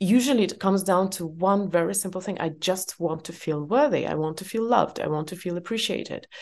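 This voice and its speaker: In an Eastern European accent, a woman speaks at a medium pitch with ordinary pitch variation and a fairly quick pace. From former Soviet Union. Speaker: author. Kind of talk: interview conversation.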